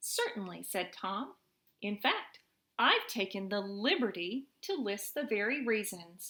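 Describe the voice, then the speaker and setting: At a fairly slow pace, a woman speaks at a medium pitch with a tone that is both bright and sharp and warm. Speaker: mother reading to her children. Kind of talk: children's story read-aloud. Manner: warm, friendly.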